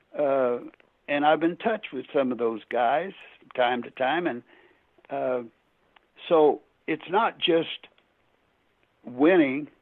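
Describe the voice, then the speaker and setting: Fairly high in pitch, a man talks at a very slow pace with long, frequent pauses. His loudness swings widely. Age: 80s+. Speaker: retired basketball coach. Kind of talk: podcast interview. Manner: halting.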